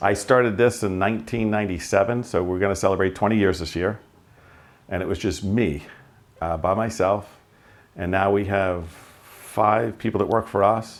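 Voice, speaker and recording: A man with a Long Island accent and fairly even intonation. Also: fairly low pitch for a man, moderate pace. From Long Island, New York. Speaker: auto repair shop owner. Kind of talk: interview answer. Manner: casual, conversational.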